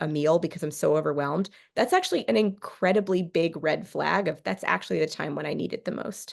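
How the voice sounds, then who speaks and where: A woman with an American accent speaks at a fairly quick pace in a fairly low pitch with vocal fry. Her pitch varies in an ordinary way, over a quiet background. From California. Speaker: therapist. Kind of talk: workshop presentation. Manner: fast.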